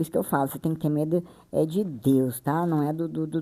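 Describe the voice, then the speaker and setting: A woman speaks with a fairly low pitch. Her recording is very clean, with a silent background. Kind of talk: bible reading and explanation. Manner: sped up to 1.6x playback; casual, chatty.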